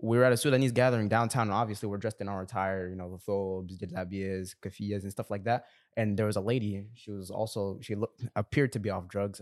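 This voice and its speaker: A man talks at a very fast pace with a fairly low pitch and fairly even intonation. The sound is dry and close, with no echo. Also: hardly any pauses. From Saudi Arabia. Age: young. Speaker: podcast co-host. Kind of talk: casual chat.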